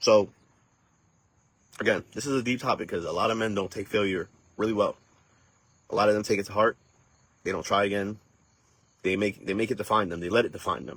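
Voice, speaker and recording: The speech runs at a very fast pace yet has long, frequent pauses and fairly even intonation. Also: man, fairly low pitch for a man. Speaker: podcast host. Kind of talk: motivational podcast monologue. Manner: halting.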